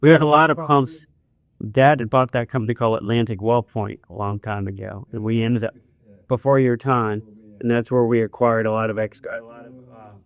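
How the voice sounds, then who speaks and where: A man with a plain, everyday voice speaks at medium pitch and a fairly quick pace. His pitch varies in an ordinary way, while his loudness swings widely. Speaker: company president. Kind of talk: casual interview conversation.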